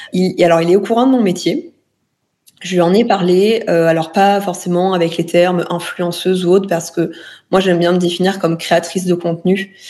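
A woman with a dark, mellow tone and a medium pitch speaks at a moderate pace with fairly even intonation. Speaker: influencer and entrepreneur. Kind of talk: interview testimony. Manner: halting, many fillers and repetitions.

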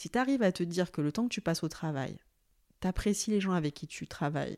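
Speaking at a fairly quick pace and a medium pitch, a woman is heard in a dry, close sound with no echo on a very clean recording with a silent background. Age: 30s. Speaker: HR director. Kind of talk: casual chat. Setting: at guest's home.

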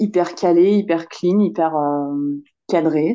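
A fairly low-pitched female voice, its pitch varying in an ordinary way. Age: 40s. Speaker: single mother by choice. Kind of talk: testimony. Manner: halting.

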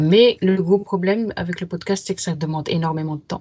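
A somewhat breathy woman talks at a moderate pace, her fairly low pitch held in fairly even intonation. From Paris region, France. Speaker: writer and literary critic. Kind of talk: casual interview.

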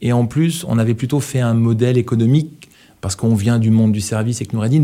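A man's dark, mellow, medium-pitched voice at a fairly quick pace. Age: 50s. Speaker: startup CEO. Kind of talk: podcast interview. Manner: halting, many repetitions and fillers.

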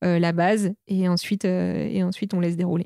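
A woman's dark, mellow voice at medium pitch and moderate pace, in a very clean recording with a silent background and a dry, close sound with no echo. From Normandy, France. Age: 30s. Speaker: entrepreneur. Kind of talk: casual interview. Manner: halting, many fillers.

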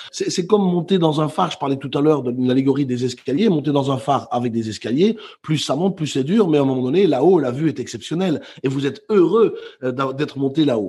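A man with lively intonation, a dark, mellow tone and a fairly quick pace. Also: fairly high pitch for a man. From Belgium, Brussels. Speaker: motivational speaker and author. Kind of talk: interview.

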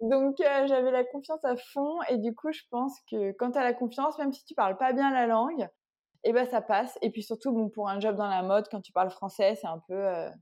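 Over a quiet background, a woman speaks at a moderate pace in a high pitch. Her tone is dark and mellow, with ordinary pitch variation. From Paris region, France. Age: 30s. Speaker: entrepreneur. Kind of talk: interview.

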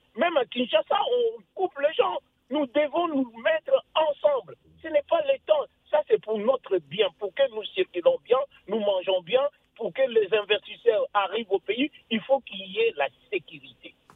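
This man's voice sits at an extremely high pitch. His pitch swings very widely. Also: fairly slow pace. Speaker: caller. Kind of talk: radio call-in. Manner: halting.

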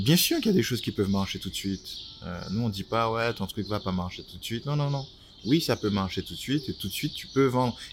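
A man talking very fast at a medium pitch, with lively intonation. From Martinique. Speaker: entrepreneur and designer. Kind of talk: interview. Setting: outdoors by a canal near the kiosk.

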